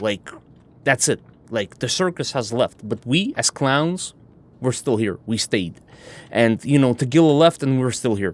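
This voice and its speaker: A man's medium pitch and lively intonation, with a non-native accent, at a fairly slow pace. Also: dry, close sound with no echo. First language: not English. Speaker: gaming streamer. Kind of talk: gameplay commentary. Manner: casual, profane.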